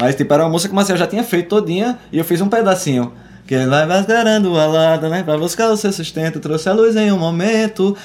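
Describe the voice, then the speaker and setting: Over music in the background, a man speaks at a high pitch with lively intonation. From Pernambuco sertão, Arcoverde. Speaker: musician. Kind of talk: casual chat. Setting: studio.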